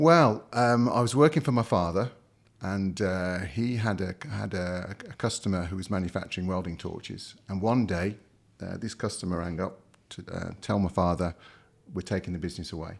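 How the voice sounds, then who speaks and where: The speaker talks at a moderate pace with a Midlands accent. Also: man, very deep, low pitch for a man, ordinary pitch variation. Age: 60s. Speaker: company founder and executive. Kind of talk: interview. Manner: hesitant, many fillers.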